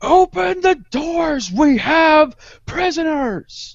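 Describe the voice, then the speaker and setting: Shouting in a put-on character voice, the speaker talks very slowly with a high, gravelly pitch. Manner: yelling, commanding.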